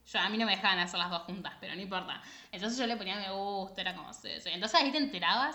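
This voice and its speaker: Speech races along at a very fast pace with lively intonation. Loudness swings widely, and room echo is audible. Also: woman, medium pitch for a woman. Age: 20s. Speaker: podcast co-host. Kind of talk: casual chat.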